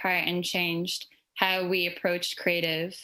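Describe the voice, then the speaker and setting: With an Irish accent, a woman speaks at a fairly low pitch in a bright, sharp tone. Her intonation stays monotone and flat. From Ireland. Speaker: creative in advertising. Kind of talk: panel discussion.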